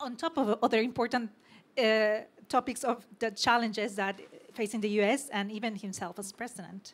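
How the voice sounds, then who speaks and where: On a very clean recording with a silent background, a woman speaks in a Mexican accent. Her pitch is fairly high, her pace moderate, and her intonation fairly even. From Mexico. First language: Spanish. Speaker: panel moderator. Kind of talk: panel discussion. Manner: halting, many repetitions.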